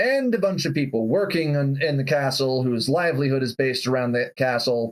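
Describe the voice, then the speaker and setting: Doing a gruff put-on character voice at a medium pitch, a man talks at a fairly quick pace with ordinary pitch variation and very even loudness. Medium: actual play.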